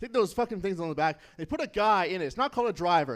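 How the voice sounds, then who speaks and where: Lively intonation and an animated tone mark this man's high voice, delivered at a very fast pace in a western Canadian accent on a very clean recording with a silent background. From Canada, Nanaimo, British Columbia. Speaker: stand-up comedian. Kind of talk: stand-up. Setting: stage with audience.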